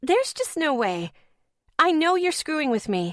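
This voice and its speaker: A woman uses a put-on character voice, squeaky and high-pitched. She talks at a moderate pace. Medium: read story. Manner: frantic, rambling.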